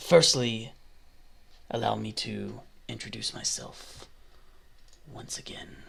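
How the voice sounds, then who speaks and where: Over clear background noise, a raspy, put-on character voice moves at a fairly slow pace with long, frequent pauses. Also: man. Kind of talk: actual play game narration. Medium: actual play. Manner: gentle.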